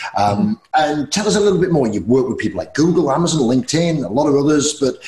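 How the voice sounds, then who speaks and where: A man talks at a very fast pace, and the room echo is audible. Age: 40s. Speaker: podcast host. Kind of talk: casual interview. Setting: video call. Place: home room. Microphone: earbuds.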